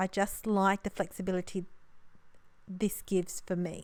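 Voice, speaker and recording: An Australian woman speaks at a moderate pace with a monotone, flat delivery and medium pitch. The recording is very clean, with a silent background. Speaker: papercraft card maker. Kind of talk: crafting tutorial voiceover. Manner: casual, chatty.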